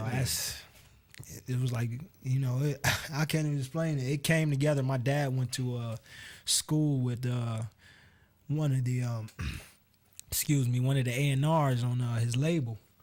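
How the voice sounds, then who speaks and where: A man with an American accent speaks at a moderate pace in a medium pitch, somewhat breathy and with long, frequent pauses. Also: fairly even intonation. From US, Cleveland, Ohio. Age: 20s. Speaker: singer. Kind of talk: radio interview.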